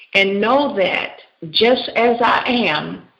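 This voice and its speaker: There is audible room echo around a woman whose pitch varies in an ordinary way. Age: 60s. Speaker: pastor and counselor. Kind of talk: radio interview. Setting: radio show.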